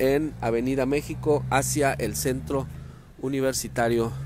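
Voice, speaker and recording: With light background noise and a dry sound with no echo, a man speaks at a fairly slow pace with ordinary pitch variation. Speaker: local news reporter. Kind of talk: live news report. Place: street. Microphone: phone near.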